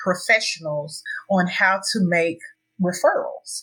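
A woman with an American accent, an ordinary speaking voice, medium pitch, and a fairly slow pace, in a very clean recording with a silent background. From US South, Tennessee. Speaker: harm reduction advocate and sex educator. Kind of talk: interview.

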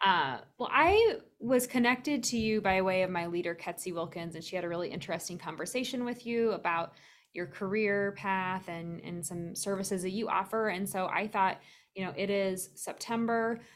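With an American accent, the speaker goes at a moderate pace with ordinary pitch variation. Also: woman, medium pitch for a woman. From US Midwest, Iowa. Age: 40s. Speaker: podcast host, wellness manager. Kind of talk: casual interview.

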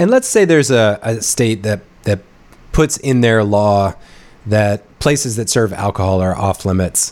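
Speaking at a fairly slow pace, a man uses a plain, everyday voice that sits fairly low and shows ordinary pitch variation. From North Carolina. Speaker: podcast host. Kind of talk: interview.

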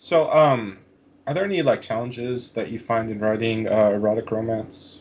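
A man speaks at a moderate pace with a medium pitch. He has a plain, everyday voice with ordinary pitch variation. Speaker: podcast host and fantasy author. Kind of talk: casual interview.

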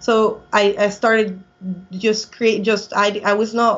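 A woman is speaking. She talks with a Colombian accent. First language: Spanish. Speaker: airline pilot. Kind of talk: interview.

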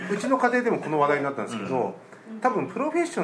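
The voice swings very widely in pitch, with audible room echo and noticeable background noise. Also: man. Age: 40s. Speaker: game shop owner. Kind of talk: casual chat. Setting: rented room with co-hosts.

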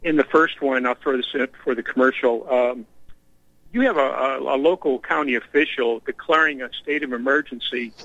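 An unremarkable speaking voice with an American accent, fairly even intonation and a moderate pace. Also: man, medium pitch for a man. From Texas. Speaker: caller. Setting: phone call.

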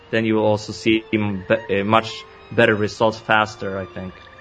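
A man speaks with music playing in the background. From Sweden. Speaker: entrepreneur and podcaster. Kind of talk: interview.

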